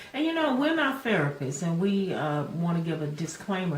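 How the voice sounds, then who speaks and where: Noticeable background noise and audible room echo surround this recording. A woman speaks with a fairly low pitch. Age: 70s. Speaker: video host discussing aging. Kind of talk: casual chat.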